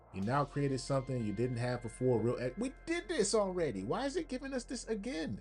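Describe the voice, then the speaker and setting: Hardly pausing at all, a man speaks at a fairly quick pace as music plays in the background. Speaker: livestream host. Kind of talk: live stream commentary, reading game text aloud. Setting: livestream.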